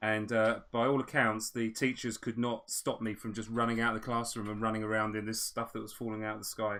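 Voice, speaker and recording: A man with an English accent speaks with a bright, sharp tone at a medium pitch, monotone and flat in intonation. There are hardly any pauses, and the recording is very clean with a silent background. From England, with early childhood in Australia. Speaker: miniature painter and stream host. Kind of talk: casual chat; live-stream painting tutorial with casual chat. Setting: live stream.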